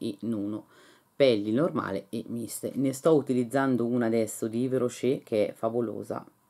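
A woman speaks in an animated tone over a quiet background. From northern Italy, Lecco area; northern Italy. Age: 50s. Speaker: beauty and lifestyle YouTuber; lifestyle YouTuber. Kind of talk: casual unboxing vlog. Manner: animated, chatty. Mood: enthusiastic, pleased. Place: home room. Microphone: phone near.

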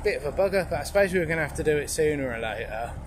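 Loud background noise fills the recording. A man talks through it. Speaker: narrowboat vlogger. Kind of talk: casual vlog chat. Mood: mildly frustrated, wry. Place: boat. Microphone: phone near.

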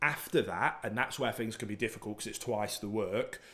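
A man speaks in a normal speaking voice, pitched fairly low. His pace is fairly quick and his intonation fairly even. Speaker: dog trainer host. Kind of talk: Q&A explanation. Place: home room. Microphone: studio mic.

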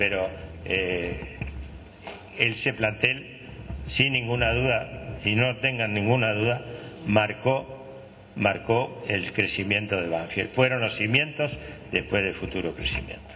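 A man's fairly low voice at a very slow pace, with long, frequent pauses. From Argentina. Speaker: former football club director; former club official on a panel. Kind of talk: panel testimony. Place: hall. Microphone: handheld.

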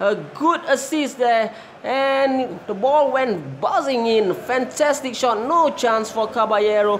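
At a very slow pace and with ordinary pitch variation, the speech plays over noticeable background noise. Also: woman. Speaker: football match commentator. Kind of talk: live sports commentary.

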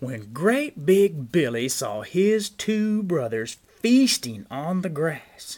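The speaker is reading aloud in a natural voice.

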